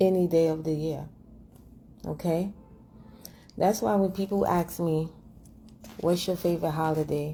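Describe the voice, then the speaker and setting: A woman speaks at a moderate pace in a fairly low pitch with fairly even intonation and long, frequent pauses. Music plays in the background. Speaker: vlogger. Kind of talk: casual monologue.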